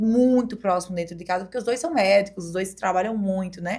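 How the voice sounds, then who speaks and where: A woman's medium pitch with fairly even intonation. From Brazil, Paraíba (Campina Grande). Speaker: DJ and former beauty queen. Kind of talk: podcast interview. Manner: casual, conversational.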